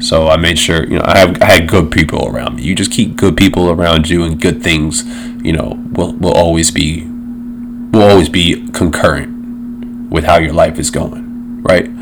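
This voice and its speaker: A man's moderate-paced speech carries audible room echo over noticeable background noise. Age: 30s. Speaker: podcast host. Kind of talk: casual solo chat. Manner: casual, filler-heavy.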